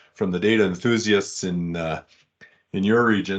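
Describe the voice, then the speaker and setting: Here a man with a Canadian accent speaks at a fairly low pitch and a moderate pace. His pitch variation is ordinary, and the background is quiet. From Western Canada, Calgary. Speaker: data vault trainer and consultant. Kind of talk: technical presentation. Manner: halting, many repeats and fillers.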